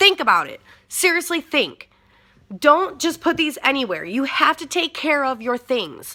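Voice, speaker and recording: A woman with an American accent uses a raised, projected voice that is high-pitched, bright and sharp, with lively intonation and big swings in loudness. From Michigan. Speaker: vaping YouTuber. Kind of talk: casual vlog talk. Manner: fast; raised voice.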